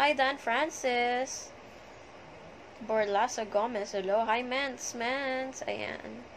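Speaking at a very slow pace, a woman with a high voice keeps her intonation fairly even over light background noise. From Manila, Philippines. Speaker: social media livestreamer. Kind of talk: live stream chat greeting viewers. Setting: live video stream. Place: home room. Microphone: phone near.

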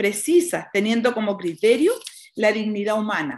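In a Chilean accent, a woman speaks with very wide pitch swings. The background is quiet. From Chile, rural Colchagua Valley. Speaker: nun and prison chaplain. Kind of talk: conference talk. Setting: video call from a small prison dining room. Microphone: webcam.

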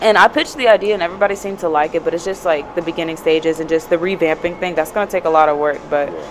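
A woman talks in an animated tone at a very fast pace, her pitch fairly low for a woman, with noticeable background noise. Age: young. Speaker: youth advocate. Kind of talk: casual chat. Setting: live at a conference. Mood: earnest, reflective. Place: hall. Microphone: handheld.

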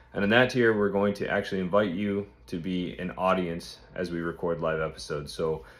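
At a fairly quick pace, a man speaks with a very deep, low pitch and fairly even intonation. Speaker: podcast host. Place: home room. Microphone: phone near.

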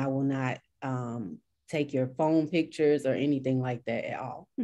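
A woman with a very deep, low pitch speaks at a moderate pace in a dark, mellow tone with fairly even intonation. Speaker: real estate agent. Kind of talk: panel discussion. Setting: video call. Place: home room. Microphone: video call.

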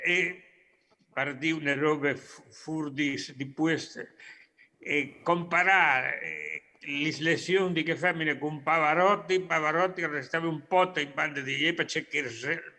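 Speaking at a very slow pace with long, frequent pauses, a man uses a bright, sharp tone, a fairly high pitch and fairly even intonation. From Argentina, Córdoba province. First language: Spanish (speaking Italian). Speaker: professor, Friulian emigrant community member; remote guest. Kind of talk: remote talk. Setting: video call from Argentina. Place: home room. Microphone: video call.

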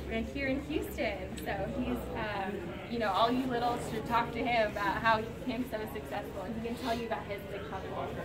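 Loud background noise fills the recording. Over it, a woman talks at a moderate pace. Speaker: charity staff host. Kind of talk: welcome speech. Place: hall. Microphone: camera far.

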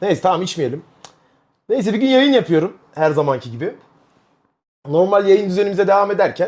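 A loud, animated man with a high pitch, lively intonation, a fairly quick pace and long, frequent pauses, on a very clean recording with a silent background. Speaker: streamer. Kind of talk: casual chat. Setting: live stream.

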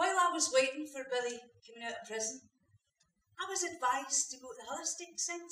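With a Scottish accent, a woman talks at a fairly quick pace in a raised, projected voice, her intonation lively and her loudness swinging widely, amid audible room echo. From Scotland. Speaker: actor playing a supportive partner in a drama. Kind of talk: dramatic monologue, acted performance. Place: stage. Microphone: camera far.

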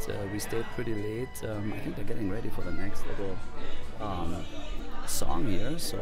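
A moderate pace, dry sound with no echo, and clear music in the background. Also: man. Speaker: podcast host. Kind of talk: casual podcast narration. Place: booth.

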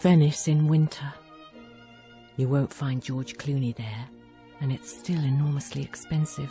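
Over background music, a woman with a very deep, low pitch talks at a fairly slow pace in fairly even intonation, pausing long and often. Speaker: voice actor. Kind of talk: TV commercial read.

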